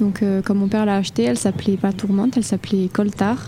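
Noticeable background noise sits under this recording. A woman talks at a fairly quick pace with a medium pitch. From Toulouse area, southern France. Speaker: barge deckhand. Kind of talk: interview. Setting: studio on a barge.

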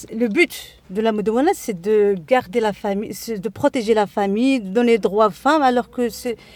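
This woman speaks at a fairly slow pace. Her intonation is lively. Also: dry, close sound with no echo. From Morocco, Casablanca. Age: 40s. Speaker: women's association member, housewife. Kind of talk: interview. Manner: halting, frequent repetitions.

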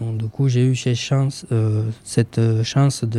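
This man's voice sits at a medium pitch. He speaks at a very slow pace. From Romania. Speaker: association president. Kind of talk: radio interview. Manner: halting.

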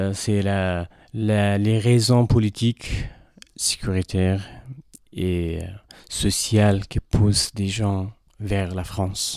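In a very clean recording with a silent background, a man with a fairly low pitch speaks at a very slow pace with monotone, flat intonation and long, frequent pauses. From Afghanistan. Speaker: former journalist. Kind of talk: radio interview.

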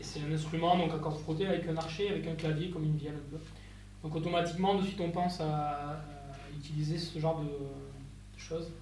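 A man talks in a flat monotone at a moderate pace. Noticeable noise runs in the background. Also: fairly high pitch for a man. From Landes, southwest France. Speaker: hurdy-gurdy musician. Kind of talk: talk at a live concert. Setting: stage with audience. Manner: halting.

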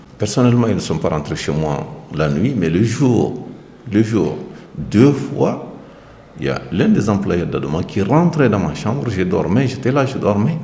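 Amid noticeable background noise and audible room echo, a man speaks slowly in a fairly low voice with very wide pitch swings. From Mali. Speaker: migrant worker, residents' delegate. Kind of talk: interview. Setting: in his hostel room.

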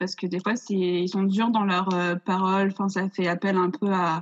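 In a dry, close recording with no echo, a woman talks at a fairly slow pace with monotone, flat intonation. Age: 20s. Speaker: theatre student and stage director. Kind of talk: casual interview. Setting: video call. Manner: hesitant.

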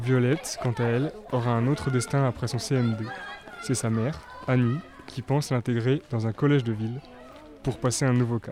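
Crowd noise fills the background as a man talks at a moderate pace in a medium pitch. His intonation stays fairly even, broken by long, frequent pauses. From France, Haute-Marne. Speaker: student documentary maker. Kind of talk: scripted narration.

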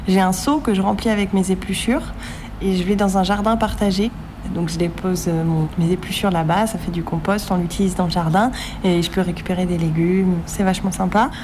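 Talking fairly quickly at a medium pitch, a woman keeps her intonation fairly even over noticeable background noise and audible room echo. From grew up abroad (Middle East, US, Singapore). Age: 20s. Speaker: zero-waste blogger and coach. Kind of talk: interview.

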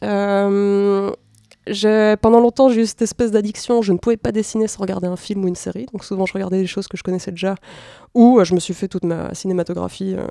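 A woman speaks at a fairly quick pace with fairly even intonation and a dark, mellow tone. The sound is dry and close with no echo, a very clean recording against a silent background. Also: medium pitch for a woman. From Belgium and Mexico. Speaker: comics artist. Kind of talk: interview.

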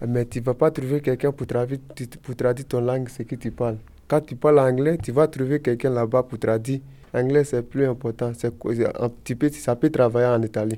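A man's dark, mellow tone at a medium pitch, with fairly even intonation and a moderate pace. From Ivory Coast. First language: Koyaka (speaking French). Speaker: language learner. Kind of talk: casual group discussion.

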